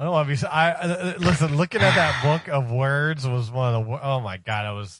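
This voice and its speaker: A man with an American accent and an unremarkable speaking voice, fairly high-pitched, fairly quick and with lively intonation. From Ohio. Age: 40s. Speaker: radio show staffer. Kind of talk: casual chat.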